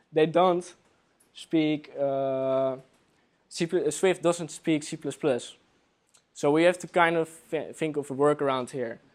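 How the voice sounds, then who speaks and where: A man with a Dutch accent speaks at a fairly slow pace and a fairly high pitch. His intonation is fairly even, broken by long, frequent pauses. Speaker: software developer. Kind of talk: conference talk. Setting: meetup with live audience. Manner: hesitant, many fillers.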